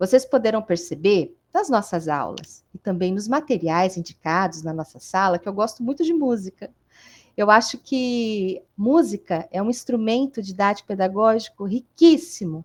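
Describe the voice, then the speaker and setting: Her pitch sits in the medium range for a woman but makes very wide swings. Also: moderate pace. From Brazil, interior of São Paulo state. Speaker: university history professor. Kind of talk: online lecture. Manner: informal, conversational with fillers.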